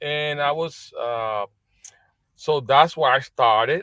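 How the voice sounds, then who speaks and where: A man with a Spanish accent, fairly high-pitched and bright and sharp in tone, with ordinary pitch variation, on a very clean recording with a silent background. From Puerto Rico. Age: 40s. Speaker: business executive. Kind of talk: interview. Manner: halting.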